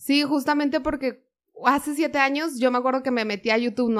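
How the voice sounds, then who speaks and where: A woman speaks at a fairly quick pace with fairly even intonation. She has an unremarkable speaking voice. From Monterrey, northern Mexico. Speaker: vegan content creator. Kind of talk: casual chat.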